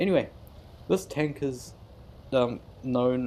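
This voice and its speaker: A man speaks with a New Zealand accent. His voice sits at medium pitch with a dark, mellow tone. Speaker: gaming YouTuber. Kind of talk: gameplay commentary. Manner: casual, self-deprecating with hesitations.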